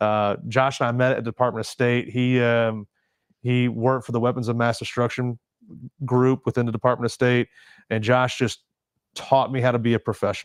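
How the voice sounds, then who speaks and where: The voice has an American accent and a monotone, flat intonation at a fairly quick pace, with very even loudness. The recording is very clean and silent in the background, with a dry, close sound and no echo. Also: man, medium pitch for a man. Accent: Southern accent, toned down. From US South, Mississippi Gulf Coast. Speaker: Marine veteran and charity founder. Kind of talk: casual interview chat. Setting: studio, livestream podcast.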